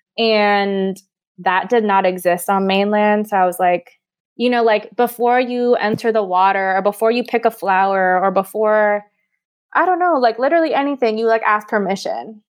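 This is a plain, everyday voice at a moderate pace. It carries ordinary pitch variation. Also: woman, fairly high pitch for a woman. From Hawaii, then Texas. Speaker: educator and travel content creator. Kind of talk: casual interview chat.

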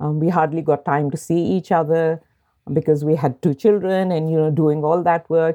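Against a quiet background, a woman with a very deep, low pitch and a dark, mellow tone speaks at a moderate pace with fairly even intonation. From Pakistan, Lahore. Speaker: senator. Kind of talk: interview.

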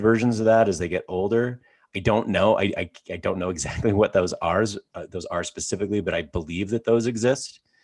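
In a very clean recording with a silent background, a man with an unremarkable speaking voice talks fairly quickly at a fairly low pitch, with ordinary pitch variation. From Canada. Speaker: podcast host. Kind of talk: casual chat.

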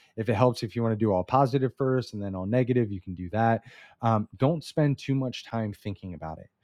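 A man with a plain, everyday voice talks at a fairly quick pace, medium in pitch, with ordinary pitch variation and big swings in loudness. The sound is dry and close with no echo, over a quiet background. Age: 30s. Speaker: business coach podcast host. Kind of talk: solo instructional talk. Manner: casual with frequent fillers.

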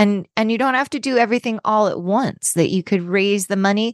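Against a quiet background, a woman with an ordinary speaking voice talks at a fairly quick pace with ordinary pitch variation, in a dry, close sound with no echo. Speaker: author and travel writer. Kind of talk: interview.

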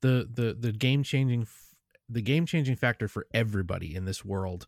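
A man has a plain, everyday voice, speaking at a moderate pace with ordinary pitch variation. The recording is very clean with a silent background and a dry, close sound with no echo. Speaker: podcaster and content creator. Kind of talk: casual chat.

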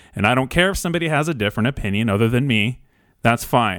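Here is a man with an ordinary speaking voice, medium in pitch, and lively intonation. The recording is very clean, with a silent background. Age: 30s. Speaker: small business owner. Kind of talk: public video message.

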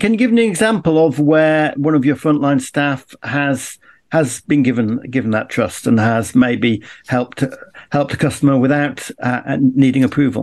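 Over a quiet background, a man with a normal speaking voice and a fairly high pitch speaks with lively intonation and very even loudness. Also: moderate pace. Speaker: podcast co-host and interviewer. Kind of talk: interview.

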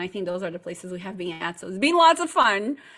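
A woman speaks fairly quickly with a Portuguese accent. Her medium-pitched voice has a bright, sharp tone. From Brazil, partly raised in Chile. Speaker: marketing agency owner. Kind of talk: interview. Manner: animated.

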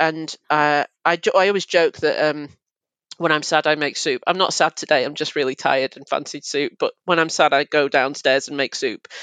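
A woman with a Mancunian accent and a very deep, low pitch speaks at a moderate pace, her intonation fairly even and her loudness swinging widely against a quiet background. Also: dry, close sound with no echo. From Manchester, England. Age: 30s. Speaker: journalist and drag king. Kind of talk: casual interview chat.

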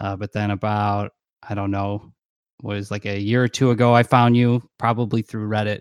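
In a very clean recording with a silent background and a dry, close sound with no echo, a man speaks at a moderate pace in a fairly low, monotone voice with flat intonation. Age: 30s. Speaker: podcast guest, crossdresser. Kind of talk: casual chat.

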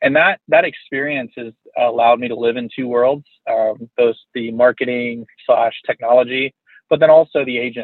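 Fairly even in intonation, a man talks at medium pitch. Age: 40s. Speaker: real estate team leader and coach. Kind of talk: interview. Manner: halting, many fillers.

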